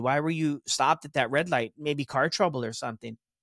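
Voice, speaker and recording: A man with a fairly high pitch sounds animated, using ordinary pitch variation in a very clean recording with a silent background. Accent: American. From Texas. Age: 30s. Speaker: recovery podcaster. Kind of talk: casual interview, personal story.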